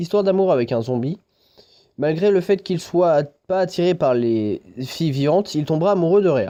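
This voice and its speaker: Here a man speaks in a high pitch with a dark, mellow tone. His intonation is lively and his pace moderate. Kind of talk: anime review talk to camera.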